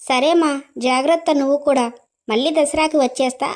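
In a cartoonish character voice, a woman speaks high-pitched and fairly slowly with fairly even intonation. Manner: whiny, emotional.

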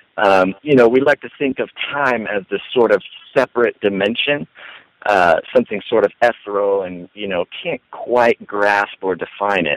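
A normal speaking voice from a man at fairly low pitch, moderate pace and ordinary pitch variation, with a dry sound with no echo and a quiet background. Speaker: online radio ministry co-founder. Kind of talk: casual interview. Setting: phone call. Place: home room. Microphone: headset.

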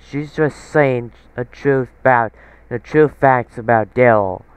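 A man talks at a very slow pace, medium in pitch with fairly even intonation. The sound is dry and close, with no echo. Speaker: commentary YouTuber. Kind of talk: angry rant. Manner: indignant, scolding, ranting; halting, restarts sentences.

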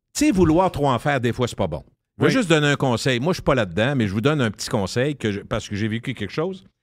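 A man with lively intonation at a very fast pace, dry sound with no echo, and a quiet background. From Quebec. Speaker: radio personality. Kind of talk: casual chat. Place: studio.

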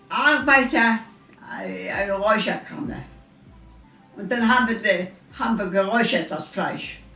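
In a room with audible echo and faint music in the background, a woman with a fairly high pitch speaks at a fairly slow pace with lively intonation. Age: 80s+. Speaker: elderly interviewee; interviewee. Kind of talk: interview. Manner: halting. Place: kitchen.

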